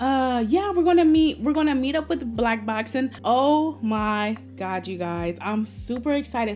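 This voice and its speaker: With lively intonation and an animated tone, a woman speaks at a moderate pace in a somewhat breathy voice. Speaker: gaming YouTuber. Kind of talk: casual chat.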